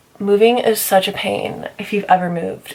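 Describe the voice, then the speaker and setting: Normal pitch movement from a woman, noticeable background noise underneath. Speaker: beauty vlogger. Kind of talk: casual chat. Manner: animated.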